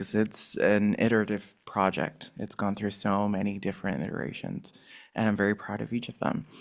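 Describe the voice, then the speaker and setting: Soft-spoken and fairly low in pitch, a man talks at a moderate pace in a very clean recording with a silent background. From Ecuador. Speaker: installation artist. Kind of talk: artist talk. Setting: gallery talk with live audience, also streamed.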